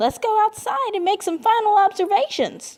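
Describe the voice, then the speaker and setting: In a put-on character voice, a female-sounding speaker squeaks along at a moderate pace with a bubbly tone and extremely high pitch. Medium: read story.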